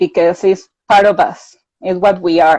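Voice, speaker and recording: A woman's dark, mellow voice at a fairly slow pace. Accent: Mexican. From Mexico. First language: Spanish. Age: 30s. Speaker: mental health advocate. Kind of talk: interview.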